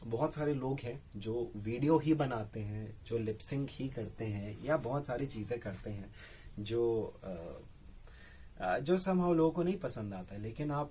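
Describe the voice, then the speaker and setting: Somewhat breathy and dark, mellow in tone, the voice moves with lively intonation. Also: man. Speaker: radio jockey. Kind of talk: casual interview answer, Hindi mixed with English. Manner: conversational, animated, reflective.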